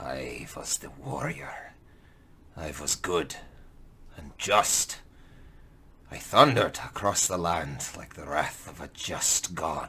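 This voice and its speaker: A man in a raspy, very deep put-on character voice talks at a fairly slow pace, leaving long, frequent pauses. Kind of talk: audio drama monologue for tabletop game. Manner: slow, brooding, solemn.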